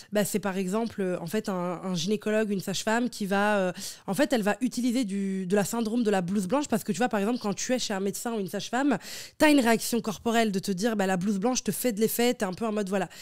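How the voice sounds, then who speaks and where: A woman talks very fast on a very clean recording where the background is silent. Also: medium pitch for a woman, ordinary pitch variation. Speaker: relationship and sex coach, former midwifery student. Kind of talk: podcast interview. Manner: loud, laughs loudly; casual, hesitant with many fillers.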